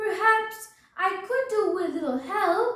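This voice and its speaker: A woman does a put-on character voice at an extremely high pitch with a slight echo. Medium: read story. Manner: snappish, unfriendly.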